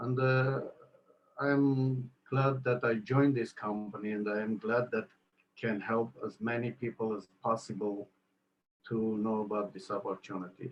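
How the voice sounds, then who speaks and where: This man talks at a fairly slow pace with a medium pitch and an Armenian accent. His intonation stays fairly even. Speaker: network marketing entrepreneur. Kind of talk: interview. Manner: halting.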